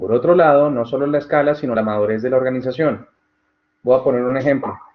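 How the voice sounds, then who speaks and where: This man's voice sits at medium pitch, with fairly even intonation and a very fast delivery. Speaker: tutor. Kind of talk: online tutorial Q&A session.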